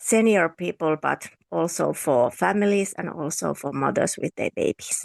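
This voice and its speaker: A woman speaks in a Finnish accent. The sound is dry and close, with no echo. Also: moderate pace. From Finland (Lapland and Helsinki). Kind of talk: interview conversation.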